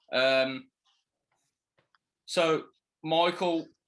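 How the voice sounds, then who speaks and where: Bright and sharp in tone, a man speaks with a slight Birmingham accent. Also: quiet background. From Birmingham, England. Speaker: interviewer. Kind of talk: interview. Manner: halting.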